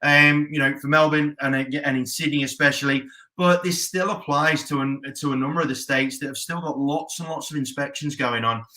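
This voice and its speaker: With an Australian accent, a man speaks at a fairly quick pace. His voice is fairly high and has a bright, sharp tone. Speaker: real estate coach and auctioneer. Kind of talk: casual talk to camera. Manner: upbeat.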